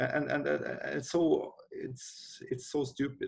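A man with a Swedish accent against a quiet background. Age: 40s. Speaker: company CEO. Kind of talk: interview. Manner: halting. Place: office. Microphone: webcam.

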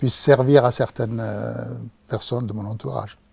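A man speaks at a medium pitch with fairly even intonation. The sound is dry, with no echo. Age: 60s. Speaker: patient. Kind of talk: patient testimony. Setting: studio. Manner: halting, many hesitations. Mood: calm, reflective about illness. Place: studio. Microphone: lapel.

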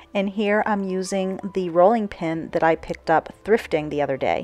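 Moderate-paced speech from a woman at medium pitch, ordinary pitch variation, and music playing underneath. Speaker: home and garden vlogger. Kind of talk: casual voice-over narration.

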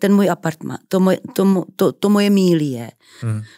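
A woman speaks in a dark, mellow tone with very wide pitch swings. The background is quiet. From Czech Republic, Moravia (Třebíč); Moravia, Czech Republic. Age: 60s. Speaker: actress. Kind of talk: interview. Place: studio. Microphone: studio mic.

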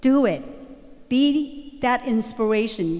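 The background stays quiet while a woman talks. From Vietnam. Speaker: guest speaker sharing her story. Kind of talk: motivational speech to school assembly. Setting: school assembly stage with audience. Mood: earnest, storytelling. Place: hall. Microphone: handheld.

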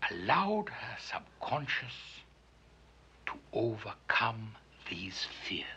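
The speaker takes a pompous tone over noticeable background noise. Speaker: psychologist character narrating. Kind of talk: pseudo-clinical film narration, 1970s style, a doctor lecturing the audience. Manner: formal, measured, authoritative and pompous, with a dry, tongue-in-cheek clinical tone.

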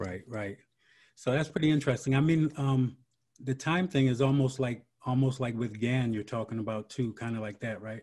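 This man speaks at a moderate pace with ordinary pitch variation. His voice is somewhat breathy over a quiet background. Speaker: podcast host. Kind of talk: interview. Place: home room. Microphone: video call.

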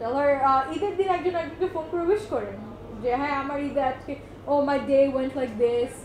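A high-pitched woman with a Bengali accent speaks with ordinary pitch variation amid light background noise and audible room echo. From Bangladesh. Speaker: workshop facilitator. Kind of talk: workshop talk. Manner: casual, mixes Bengali and English. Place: meeting room. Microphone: camera far.

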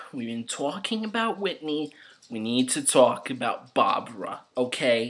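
A man speaks fairly slowly in an animated tone over a quiet background. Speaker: comedic character vlogger. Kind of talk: comedy character monologue. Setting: video message recorded to camera. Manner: guilt-tripping, chatty, rambling. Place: home room. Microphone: webcam.

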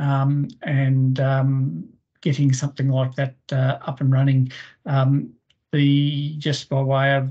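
Speaking with an Australian accent, a man with a fairly high voice sounds somewhat breathy, his tone dark and mellow over a quiet background. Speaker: forestry industry representative. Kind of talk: webinar discussion. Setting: video call. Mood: friendly, appreciative. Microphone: video call.

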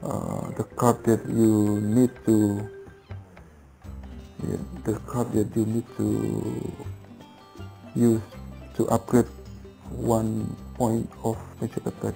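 Faint music sits behind a man who speaks very slowly at a fairly low pitch, with ordinary pitch variation and long, frequent pauses. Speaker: game tutorial creator. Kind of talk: game tutorial talk. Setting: headset microphone. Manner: hesitant, many filler sounds. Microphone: headset.

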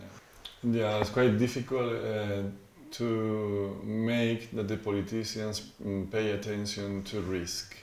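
Audible room echo surrounds a man speaking at a fairly slow pace. His pitch is fairly low and his intonation monotone and flat. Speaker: university geography professor. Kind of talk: interview answer. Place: office. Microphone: lapel.

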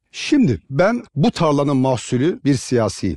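The voice has a dark, mellow tone in a dry sound with no echo. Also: man. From Trabzon, Turkey; Turkey. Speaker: mayoral candidate; candidate. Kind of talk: public Q&A with audience. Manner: formal. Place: stage. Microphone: headset.

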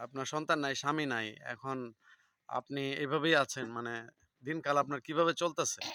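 A bright, sharp male voice with fairly even intonation. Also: fairly high pitch for a man, dry, close sound with no echo. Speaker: village video blogger interviewing locals. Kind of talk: casual interview.

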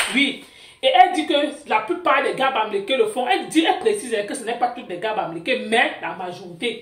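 Audible room echo at a moderate pace. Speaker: gossip channel host. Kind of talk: gossip news commentary. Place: home room. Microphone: phone near.

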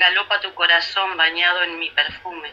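A woman speaks with a fairly low pitch. Her pace is fairly slow. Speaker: radio co-host. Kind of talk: radio interview. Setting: radio, remote.

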